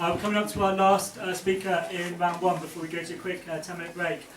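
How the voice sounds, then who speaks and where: The speech is very fast and monotone, with flat intonation. Noticeable noise fills the background. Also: man. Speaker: open-mic host. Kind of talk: event hosting to live audience. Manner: hesitant, casual.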